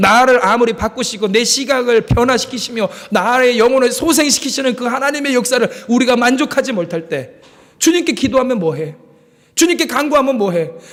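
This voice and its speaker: A man speaks at an extremely high pitch and a fairly quick pace. His intonation is lively. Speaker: pastor. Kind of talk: sermon.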